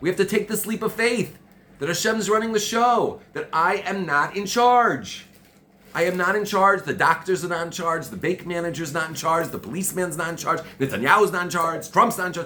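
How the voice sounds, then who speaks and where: A loud, passionate man's voice at a high pitch, with ordinary pitch variation and a fairly quick pace, over noticeable background noise. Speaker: Torah teacher. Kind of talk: religious class. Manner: repetitive, stammering.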